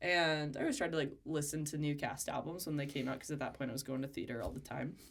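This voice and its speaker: Talking at a very fast pace, a woman with an American accent uses a very deep, low pitch and fairly even intonation. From North Carolina. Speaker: podcast co-host. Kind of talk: casual chat.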